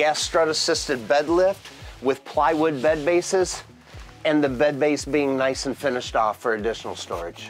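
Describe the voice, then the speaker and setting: A man speaks with ordinary pitch variation as faint music plays in the background. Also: moderate pace. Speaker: presenter. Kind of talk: product tour presentation. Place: home room.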